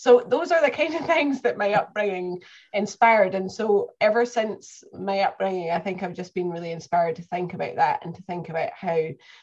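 Speaking in a Scottish accent, a woman talks at a fairly quick pace and a medium pitch with hardly any pauses, lively intonation and big swings in loudness.

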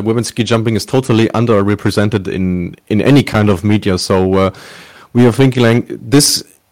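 Recorded very cleanly against a silent background, a man with a German accent speaks at a fairly low pitch with ordinary pitch variation. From Germany. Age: 20s. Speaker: sports journalist. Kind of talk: interview.

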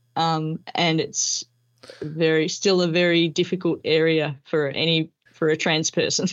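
A woman speaks with an Australian accent in a fairly low voice at a fairly slow pace. Her intonation is monotone and flat, and her loudness very even. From Melbourne, Australia. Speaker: former police officer and army reservist. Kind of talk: interview.

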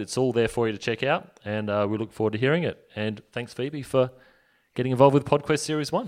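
On a very clean recording with a silent background, a man uses a normal speaking voice at medium pitch, moving at a fairly quick pace with ordinary pitch variation. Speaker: podcast network manager and interviewer. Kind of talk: conference panel Q&A.

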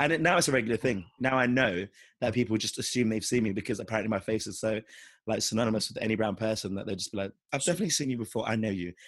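At a very fast pace, a man speaks in a husky, fairly low voice with ordinary pitch variation.

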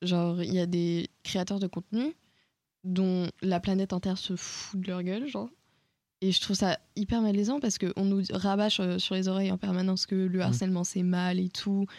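A woman's ordinary speaking voice at medium pitch, fairly even intonation and a moderate pace, dry and close with no echo, in a very clean recording with a silent background. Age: young. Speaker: podcast host. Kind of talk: casual chat.

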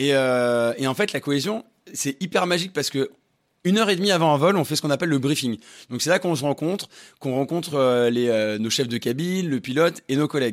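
A man's fairly high voice at a very fast pace. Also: lively intonation, very clean recording, silent background. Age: 30s. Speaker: flight attendant. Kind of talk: casual chat.

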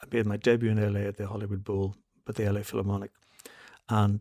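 A man with a Northern Irish accent, fairly low in pitch, with monotone, flat intonation and a dry, close sound free of echo. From Northern Ireland, Belfast. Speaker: classical concert pianist and podcast co-host. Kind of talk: casual chat.

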